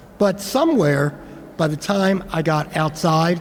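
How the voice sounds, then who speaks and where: Against noticeable background noise, a man with a Philadelphia accent speaks at a high pitch. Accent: Philadelphia American English. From Philadelphia, US. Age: 70s. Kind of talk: speech at commemoration event.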